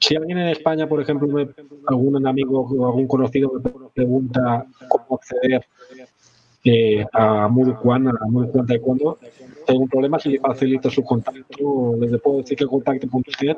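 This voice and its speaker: A man speaks at a moderate pace and medium pitch, his intonation flat and monotone. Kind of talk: casual interview chat. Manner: halting, frequent repetitions.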